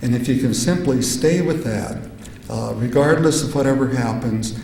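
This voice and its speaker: A man's medium-pitched voice at a moderate pace, fairly even in intonation, with audible room echo and noticeable background noise. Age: 70s. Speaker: psychedelic researcher and conference speaker. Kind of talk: conference talk. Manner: halting, many filler sounds.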